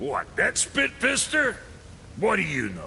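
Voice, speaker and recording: Doing a put-on character voice, a man talks at a fairly slow pace in a raspy tone with clear background noise. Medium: video game. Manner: gruff, irritable.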